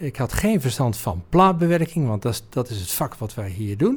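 The recording is very clean, with a silent background. A man with a somewhat breathy, medium-pitched voice speaks with lively intonation. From Netherlands, North Brabant (Oudheusden). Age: 50s. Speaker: business owner. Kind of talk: interview. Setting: office.

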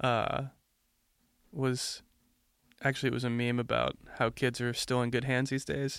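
Over a very clean recording with a silent background, a man talks in a monotone, flat intonation broken by long, frequent pauses. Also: medium pitch for a man, moderate pace. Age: 20s. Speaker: podcast co-host. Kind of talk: casual chat.

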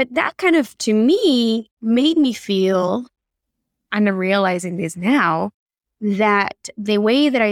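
A woman with an Argentine accent speaks at a very slow pace. Her fairly high pitch moves with lively intonation. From Argentina. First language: Spanish. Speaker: on-camera confidence coach. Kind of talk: casual chat.

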